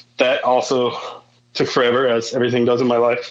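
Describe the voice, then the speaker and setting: Noticeable background noise accompanies a man speaking with an American accent. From northern Indiana, rural. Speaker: musician. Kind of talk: casual chat.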